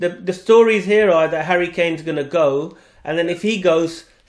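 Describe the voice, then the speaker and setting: A man with a British accent, a high pitch and ordinary pitch variation. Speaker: podcast host. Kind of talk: podcast discussion.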